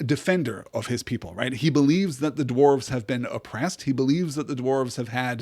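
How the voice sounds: Reading in a natural voice, ordinary pitch variation throughout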